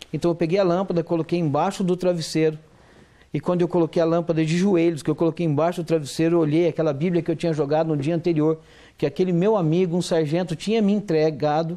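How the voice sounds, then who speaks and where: High-pitched male voice with a dark, mellow tone, fairly quick and fairly even in intonation, very even in loudness, over a quiet background. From southern Minas Gerais, Brazil. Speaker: pastor and former military sergeant. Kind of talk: testimony. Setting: TV studio interview. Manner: halting, many repetitions.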